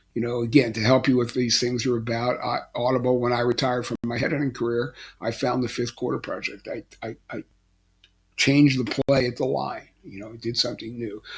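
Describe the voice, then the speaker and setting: With an American accent, a man talks at a fairly quick pace in a medium pitch. His voice is somewhat breathy, and his intonation is monotone and flat. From Philadelphia, Pennsylvania. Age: 70s. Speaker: life coach, retired basketball coach. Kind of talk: motivational talk to camera. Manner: casual, hesitant with fillers.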